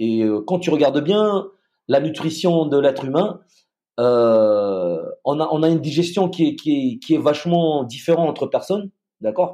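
Speaking at a fairly slow pace, a man uses lively intonation in a dark, mellow tone. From Madagascar. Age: 40s. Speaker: retired special forces soldier. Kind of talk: casual interview.

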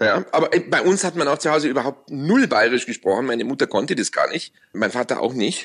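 A man speaks in a Bavarian accent with a fairly high pitch. His pace is fairly quick and his intonation lively. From Munich, Bavaria. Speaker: radio host. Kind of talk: casual chat. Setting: at home with windows open.

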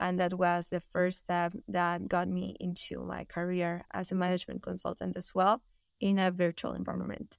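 On a very clean recording with a silent background, a woman with a Spanish accent talks at a moderate pace in a dry, close sound with no echo. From Peru. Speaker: consultant. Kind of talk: interview answers, casual-professional conversation.

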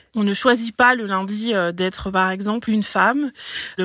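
A woman at a fairly slow pace, a normal speaking voice with medium pitch and ordinary pitch variation. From French overseas territory, Breton. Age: 30s. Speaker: local politician and ecology activist. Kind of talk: prepared reaction statement.

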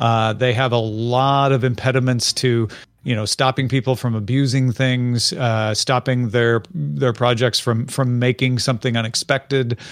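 A man with a plain, everyday voice speaks at a moderate pace and medium pitch, his loudness very even, his intonation fairly even, and hardly any pauses. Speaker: tech commentator. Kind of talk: casual chat. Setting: video call.

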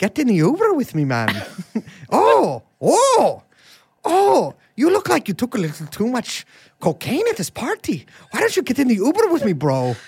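Using a put-on character voice, the speaker talks at a moderate pace with a fairly high pitch and long, frequent pauses. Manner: wheedling, pushy.

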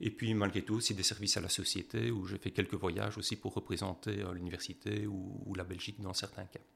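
Speaking fairly quickly with hardly any pauses, a man with a fairly low pitch and vocal fry keeps his intonation fairly even. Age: 50s. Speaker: professor. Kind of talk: interview.

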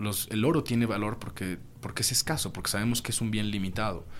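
With a fairly low pitch and ordinary pitch variation, a man speaks at a fairly quick pace. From Mexico. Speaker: cryptocurrency consultant. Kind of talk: interview. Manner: halting.

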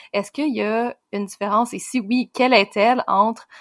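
This very clean recording has a silent background and a dry, close sound with no echo. The voice has a bright, sharp tone, fairly even intonation and a Quebec accent. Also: woman. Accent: Québécois French. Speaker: podcast co-host. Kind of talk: interview conversation.

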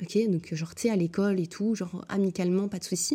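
On a very clean recording with a silent background, a woman speaks at medium pitch in a dark, mellow tone that is somewhat breathy. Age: 20s. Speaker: podcast host. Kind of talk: solo casual monologue. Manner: chatty, frequent fillers, English code-switching.

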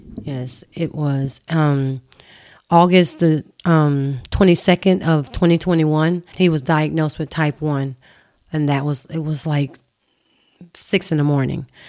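With a Southern US accent, a woman talks at a fairly slow pace, her very deep, low voice holding fairly even intonation. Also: very clean recording, silent background. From Mississippi. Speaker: mother of child with diabetes. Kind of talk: casual interview.

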